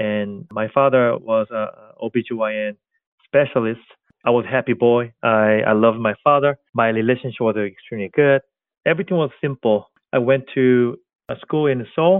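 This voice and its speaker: Here a man speaks with a Korean accent at a moderate pace. His pitch is medium and varies in an ordinary way. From South Korea. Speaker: tech company co-founder. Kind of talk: interview.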